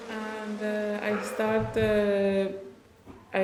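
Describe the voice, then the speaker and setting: A woman speaks with a Persian accent. Noticeable background noise and audible room echo are present. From Iran. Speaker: refugee translator and cultural mediator. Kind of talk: podcast interview. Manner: halting, frequent fillers.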